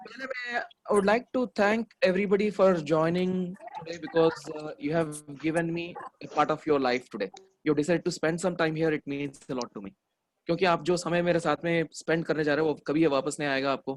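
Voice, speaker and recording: A man speaks with a high pitch and ordinary pitch variation. The sound is dry and close, with no echo. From India, Hyderabad. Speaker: memory trainer. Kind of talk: online workshop talk. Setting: online video session.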